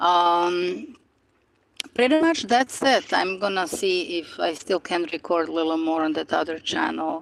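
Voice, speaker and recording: A woman speaks at a fairly slow pace in a fairly low pitch, with ordinary pitch variation. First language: non-English native language. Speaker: spiritual YouTuber. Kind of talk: casual live-stream monologue. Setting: outdoors by the ocean. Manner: hesitant, many fillers.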